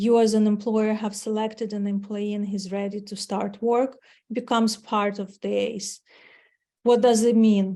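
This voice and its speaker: In a Ukrainian accent, a woman speaks with a dark, mellow tone at a fairly high pitch, her intonation monotone and flat. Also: moderate pace, quiet background. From Ukraine. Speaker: marketing executive. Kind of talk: webinar presentation. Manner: hesitant, with fillers.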